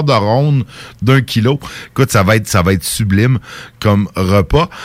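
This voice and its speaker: Speaking at a fairly slow pace, a man with a Quebec accent uses lively intonation at a fairly low pitch. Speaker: community radio host. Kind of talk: casual chat. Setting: studio.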